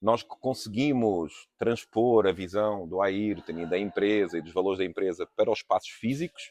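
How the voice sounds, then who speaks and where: A man's fairly low voice at a moderate pace, ordinary pitch variation, big swings in loudness and hardly any pauses, dry and close with no echo against a quiet background. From Portugal. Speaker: architect. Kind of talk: podcast interview. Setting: trade fair booth.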